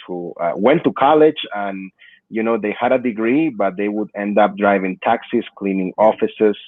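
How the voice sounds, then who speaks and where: A man with a Peruvian accent talks at a moderate pace in a fairly low pitch. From Peru, then Perth Amboy, New Jersey. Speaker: immigrant rights activist. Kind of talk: podcast interview. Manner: many fillers (uh, you know).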